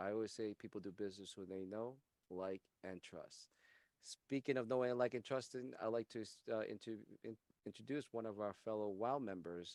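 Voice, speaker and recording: A man talks at a moderate pace in a plain, everyday voice, his pitch fairly low. The sound is dry and close, with no echo. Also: ordinary pitch variation. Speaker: networking show host. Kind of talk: interview host questions.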